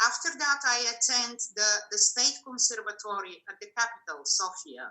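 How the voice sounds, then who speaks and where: In a Bulgarian accent, a woman with a fairly high pitch and a bright, sharp tone speaks at a moderate pace with lively intonation and big swings in loudness. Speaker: cellist. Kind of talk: interview.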